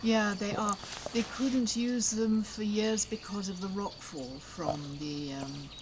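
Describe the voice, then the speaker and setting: A woman's intonation is lively and her pace very slow, with noticeable noise behind her. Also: medium pitch for a woman. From UK. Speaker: local resident. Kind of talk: casual chat. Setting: outdoors. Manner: halting.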